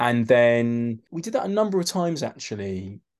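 A man talks in a London accent at a medium pitch. The background is quiet. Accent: London accent, mistaken for Mockney. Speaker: actor and novelist. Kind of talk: casual chat. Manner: halting, repeats words.

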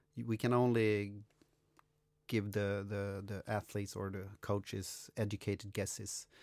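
Talking with a Swedish accent, a man has a fairly low pitch and a fairly slow pace. His intonation is monotone and flat. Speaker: podcast host, coach. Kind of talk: casual interview chat.

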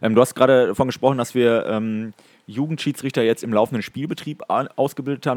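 A man's plain, everyday voice at a medium pitch, with ordinary pitch variation and a dry, close sound with no echo. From Ruhr area, Germany (Datteln). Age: 20s. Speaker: hockey referee. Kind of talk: casual chat.

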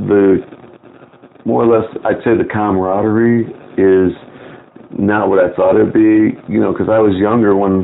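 With an American accent, a man speaks at a moderate pace and fairly low pitch, with very even loudness, long, frequent pauses and noticeable background noise. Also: fairly even intonation. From Chicago. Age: 50s. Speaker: lodge secretary, Freemason. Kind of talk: interview.

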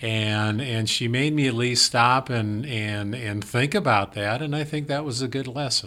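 A man speaks with an Upper Midwest accent in a bright, sharp tone. He leaves hardly any pauses. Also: medium pitch for a man, ordinary pitch variation, fairly slow pace. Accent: Upper Midwest American. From rural South Dakota. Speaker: financial advisor. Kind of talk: casual chat.

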